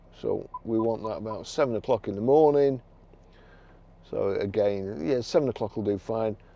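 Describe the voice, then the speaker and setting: A man with a Lancashire accent talks at a medium pitch and a moderate pace, with ordinary pitch variation. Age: 60s. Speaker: car dealer. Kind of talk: product demonstration. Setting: in a car. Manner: halting.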